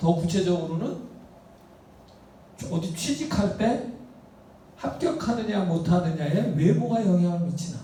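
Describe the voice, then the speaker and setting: A man speaks at a high pitch with ordinary pitch variation and a fairly slow pace, with long, frequent pauses. Noticeable background noise and audible room echo surround him. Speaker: university professor. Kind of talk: lecture. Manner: casual, rhetorical questions.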